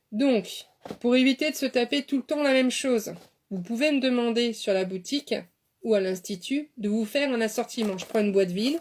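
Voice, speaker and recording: High-pitched female speech, with ordinary pitch variation. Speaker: beautician and dietitian. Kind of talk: live stream talk. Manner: fast; animated.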